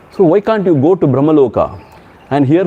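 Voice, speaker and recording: A man at a fairly quick pace with very wide pitch swings. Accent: Tamil. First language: Tamil. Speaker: swami, spiritual teacher. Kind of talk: spiritual discourse with storytelling. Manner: conversational, animated storytelling.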